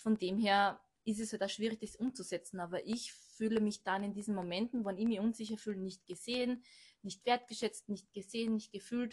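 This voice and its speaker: This woman's somewhat breathy, fairly high voice holds a monotone, flat intonation at a moderate pace. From Austria, Burgenland. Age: 30s. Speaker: manager at a stairlift company. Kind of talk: casual chat.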